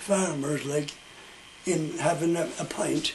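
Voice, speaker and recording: A man speaks fairly slowly with a west of Ireland accent. Noticeable noise sits in the background. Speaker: storyteller. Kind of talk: oral storytelling.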